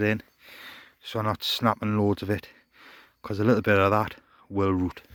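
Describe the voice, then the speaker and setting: In a British accent, a man speaks quietly at a fairly quick pace in a fairly low pitch, with long, frequent pauses and a dry, close sound with no echo. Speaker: allotment gardener vlogger. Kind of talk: casual vlog. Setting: outdoors.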